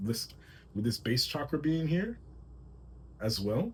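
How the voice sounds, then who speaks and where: A man speaks in a somewhat breathy voice. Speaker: tarot reader and spiritual channeler. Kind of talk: channeled tarot reading. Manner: fast; halting, self-correcting.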